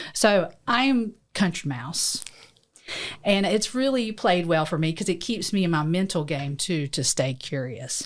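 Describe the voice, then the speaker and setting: A woman with a strong Southern US accent speaks fairly slowly at a fairly low pitch, her voice moving through very wide pitch swings. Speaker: lawyer and podcast co-host. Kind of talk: casual chat. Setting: studio.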